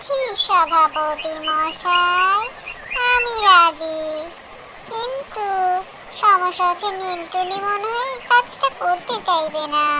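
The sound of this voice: A woman uses a cartoonish character voice, extremely high in pitch and very slow in pace.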